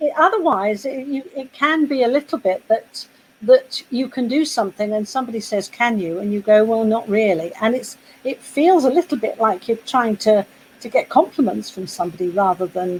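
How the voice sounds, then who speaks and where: This woman has a British accent and a fairly high pitch. Her intonation is lively and her pace moderate. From Britain. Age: 60s. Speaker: poet. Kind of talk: casual chat. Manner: halting.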